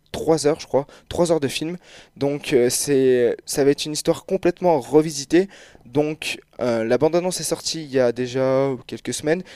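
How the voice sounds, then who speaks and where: A man talks at a moderate pace and a fairly high pitch, in a dark, mellow tone with fairly even intonation. The sound is dry and close, with no echo. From France, Clermont-Ferrand. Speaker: video game columnist. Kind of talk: radio segment. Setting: radio studio.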